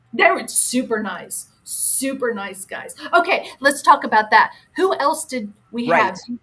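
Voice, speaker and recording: Loud and projected, a woman speaks at a fairly slow pace in a high pitch, her upbeat tone carrying very wide pitch swings and big swings in loudness. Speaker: former radio marketing person. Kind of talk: casual radio interview storytelling. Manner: chatty, upbeat.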